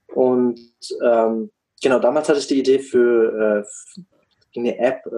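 This man's voice has a medium pitch and a dark, mellow tone. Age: 20s. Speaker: business consultant for coaches. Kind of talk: casual interview.

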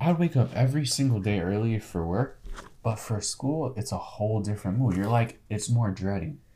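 A man talks at a moderate pace with a medium-pitched, somewhat breathy voice. His pitch varies in an ordinary way. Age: 20s. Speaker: podcast co-host. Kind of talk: casual chat.

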